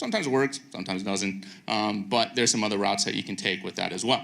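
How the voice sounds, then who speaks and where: A man's bright, sharp voice at a very fast pace, with ordinary pitch variation. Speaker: video engineer, conference speaker. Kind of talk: conference lightning talk. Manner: frequent fillers (um, uh).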